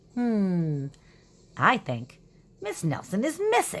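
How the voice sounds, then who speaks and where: This put-on character voice has a middle pitch and very wide pitch swings. It moves at a very slow pace. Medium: read story.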